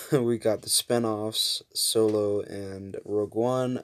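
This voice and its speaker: Here a man talks at a very slow pace. His pitch is medium and his intonation flat and monotone. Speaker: YouTuber. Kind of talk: casual commentary video. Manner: casual, some hesitations.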